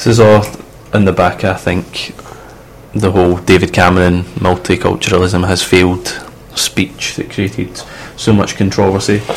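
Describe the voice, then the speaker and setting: Noticeable background noise surrounds a man's voice. It is very deep and low, with fairly even intonation. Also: moderate pace. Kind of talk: casual banter between co-hosts on a student radio show. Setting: radio studio. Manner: opinionated, sometimes indignant.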